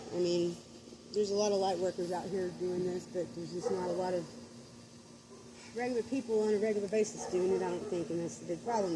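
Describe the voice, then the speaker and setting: Noticeable background noise behind a woman at medium pitch, very fast in pace, with ordinary pitch variation. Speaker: spiritual vlogger. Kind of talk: casual livestream monologue. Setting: outdoors at night. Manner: rambling with many fillers.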